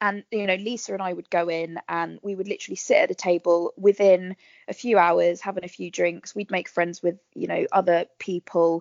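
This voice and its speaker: Her voice lands at a medium pitch as the woman moves along at a moderate speed. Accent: southern English. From southern England, Berkshire. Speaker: actress. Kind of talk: casual interview chat.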